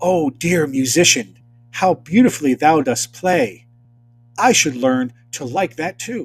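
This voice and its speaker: A man's put-on character voice, fairly high in pitch and fairly slow, with music in the background. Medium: read story.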